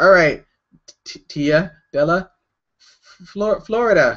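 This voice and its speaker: A man with a Canadian accent, very slow in pace and lively in intonation. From Canada. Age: 20s. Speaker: artist livestreamer. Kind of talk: casual livestream Q&A. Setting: livestream video chat at home. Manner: hyperactive, energetic.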